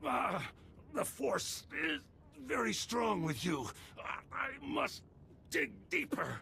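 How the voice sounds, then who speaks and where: A raspy, shouted character voice, put on, at a very slow pace with long, frequent pauses, very even loudness and clear background noise. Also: man. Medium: video game. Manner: stern, self-righteous.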